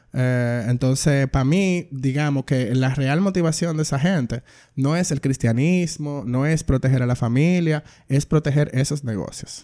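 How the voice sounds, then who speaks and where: Speaking at a fairly slow pace, a man has a fairly high pitch and a dark, mellow tone with ordinary pitch variation. The recording is very clean, with a silent background. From Dominican Republic. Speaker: filmmaker and queer activist. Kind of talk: casual interview.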